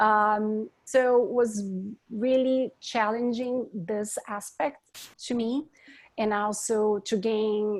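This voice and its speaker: Very slow speech from a woman with a strong Brazilian accent, fairly high pitch and fairly even intonation. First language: Portuguese. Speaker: architect. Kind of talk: panel discussion.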